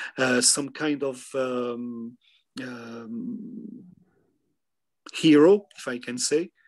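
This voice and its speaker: With a French accent, a man of medium pitch speaks at a very slow pace with ordinary pitch variation and long, frequent pauses against a quiet background. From France. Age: 50s. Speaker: historian. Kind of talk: interview. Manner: halting.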